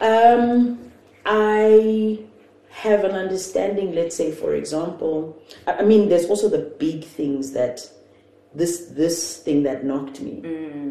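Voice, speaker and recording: Noticeable background noise and audible room echo surround a woman who speaks very slowly, her pitch swinging very widely. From South Africa, Johannesburg. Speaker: entrepreneur. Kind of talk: casual chat. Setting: at home.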